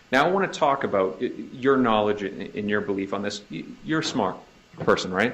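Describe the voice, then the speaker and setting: A man with a Boston accent and fairly low pitch, fairly quick and lively in intonation, with big swings in loudness and audible room echo. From US Northeast, Boston area. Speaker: prosecutor. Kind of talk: courtroom cross-examination. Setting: courtroom. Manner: repetitive halting restarts.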